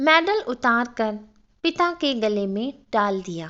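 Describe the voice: Her tone is fairly bright, and this woman's voice sits at a fairly high pitch. She speaks at a slow pace with big pitch swings.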